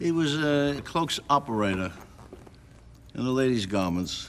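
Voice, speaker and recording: With a New York accent, a man speaks at a fairly slow pace with lively intonation, amid noticeable background noise and audible room echo. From New York City, Lower East Side. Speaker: klezmer musician. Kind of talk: interview reminiscence.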